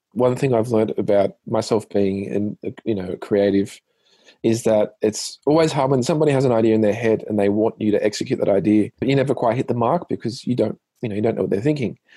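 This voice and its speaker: Very fast speech in an Australian accent, dark and mellow in tone, with ordinary pitch variation and a dry, close sound without echo. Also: man, medium pitch for a man. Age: 30s. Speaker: singer and musician. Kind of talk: interview. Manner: hesitant, many fillers.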